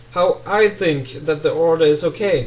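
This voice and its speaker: A man in a German accent, at a fairly slow pace, with music in the background. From Germany. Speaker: pen spinning tutor. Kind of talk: casual talk to camera.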